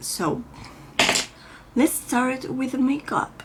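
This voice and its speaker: A woman with a Spanish accent at a high pitch, with noticeable background noise. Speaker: beauty vlogger. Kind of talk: makeup tutorial. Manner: halting, with many fillers.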